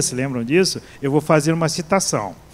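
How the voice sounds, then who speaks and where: A man at a fairly high pitch, with lively intonation and a moderate pace. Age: 60s. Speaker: pastor and seminary professor. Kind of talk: sermon. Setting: church. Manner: halting, with frequent repetitions.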